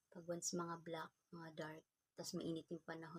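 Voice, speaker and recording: A soft-spoken woman talks at a moderate pace with a fairly low pitch, a dark, mellow tone and a somewhat breathy quality. The sound is dry and close, with no echo. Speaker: vlogger. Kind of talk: unboxing vlog. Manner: casual.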